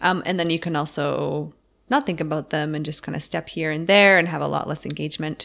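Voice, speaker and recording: A woman with a very deep, low pitch and vocal fry talks at a fairly quick pace with fairly even intonation, in a very clean recording with a silent background. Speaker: yoga teacher and podcast host. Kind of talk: casual chat.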